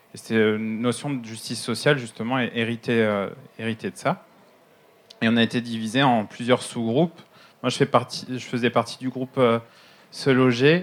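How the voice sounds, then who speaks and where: At a moderate pace, a man speaks at a medium pitch with ordinary pitch variation and long, frequent pauses. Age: 30s. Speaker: architect and regional councillor. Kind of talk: panel discussion. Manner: halting.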